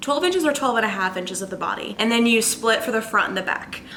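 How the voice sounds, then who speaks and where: Fairly high pitch from a woman, with noticeable background noise. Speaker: knitting podcaster. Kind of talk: casual chat. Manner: animated.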